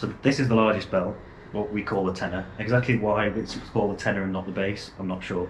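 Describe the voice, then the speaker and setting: Talking at a very fast pace with fairly even intonation, a man with a fairly low pitch is heard amid audible room echo. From northern England, Wigan. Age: young. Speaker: church bell ringer and teacher. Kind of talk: casual explanatory chat. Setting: church bell tower.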